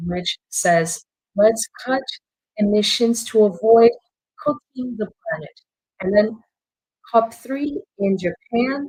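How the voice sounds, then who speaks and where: Somewhat breathy and fairly high-pitched, a woman talks very slowly with ordinary pitch variation and long, frequent pauses. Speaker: journalist. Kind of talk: webinar presentation.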